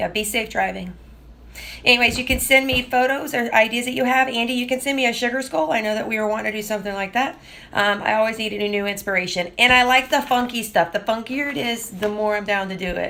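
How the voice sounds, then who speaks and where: A woman's very fast, fairly high voice with a Southern US accent, a bright, sharp tone and ordinary pitch variation. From US South. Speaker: artist livestreamer. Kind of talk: live stream drawing tutorial chat. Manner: casual, chatty with fillers.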